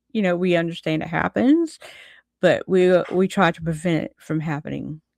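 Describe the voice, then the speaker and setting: A woman with a Southern US accent at a fairly low pitch, a moderate pace and fairly even intonation, in a very clean recording with a silent background and a dry, close sound with no echo. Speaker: vlogger. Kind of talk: casual vlog monologue. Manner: halting, many fillers.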